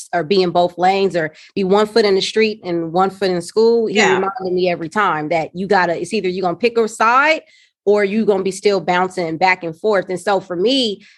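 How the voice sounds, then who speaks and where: At a fairly quick pace with hardly any pauses, a woman speaks at medium pitch with ordinary pitch variation over noticeable background noise. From South Los Angeles. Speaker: social worker and nonprofit founder. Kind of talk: podcast interview answer. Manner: casual, conversational.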